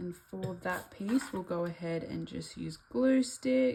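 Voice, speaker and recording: Music sounds in the background. Over it, a woman talks at a very slow pace. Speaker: craft YouTuber. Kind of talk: tutorial. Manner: casual; soft-spoken.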